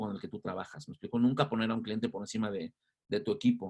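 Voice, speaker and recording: A man talks in an energetic tone with ordinary pitch variation. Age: 50s. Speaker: advertising agency founder. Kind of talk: interview.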